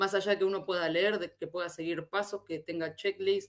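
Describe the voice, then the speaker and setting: A woman with an Argentine accent talks at a fairly quick pace. Her pitch is medium and her intonation fairly even. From Argentina. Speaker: SEO specialist. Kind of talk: conference talk. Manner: hesitant, frequent repetitions.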